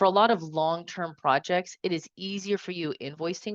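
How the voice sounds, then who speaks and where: With a medium pitch, a woman keeps a fairly quick pace against a quiet background, the sound dry and close with no echo. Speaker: independent evaluation consultant. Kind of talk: webinar presentation. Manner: fast; animated.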